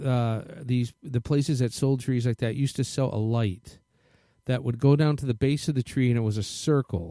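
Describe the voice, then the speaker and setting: A man's medium-pitched, dark and mellow voice at a moderate pace, with ordinary pitch variation, a dry, close sound with no echo, and a very clean recording over a silent background. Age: 60s. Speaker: radio host. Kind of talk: casual chat.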